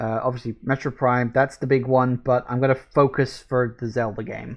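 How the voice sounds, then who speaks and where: Moderate pace with monotone, flat intonation. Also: man, medium pitch for a man. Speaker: gaming channel host. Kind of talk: casual chat.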